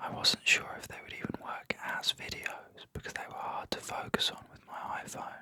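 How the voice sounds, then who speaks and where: A man is whispering. Noticeable background noise is present. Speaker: artist and art teacher. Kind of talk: film essay narration. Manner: whispered.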